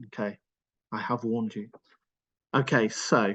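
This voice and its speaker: This is a man talking. He has a Welsh accent. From Wales (Cardiff). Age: 50s. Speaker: charity executive speaking on his own anxiety. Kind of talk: personal testimony in a webinar. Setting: online webinar. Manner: halting, many fillers and repetitions.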